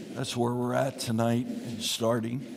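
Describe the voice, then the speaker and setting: Rather unhurried speech from a man at mid pitch, amid audible room echo and clearly heard background noise. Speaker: pastor. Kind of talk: Bible study teaching. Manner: not projecting, normal conversational volume; casual with many fillers.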